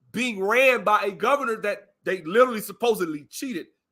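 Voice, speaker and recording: A man with an Alabama accent, his raised, projected voice extremely high in pitch, bright and sharp in tone, animated, with lively intonation at a moderate pace. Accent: Southern, Alabama country. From US South, Alabama. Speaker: live stream commentator. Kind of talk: casual chat.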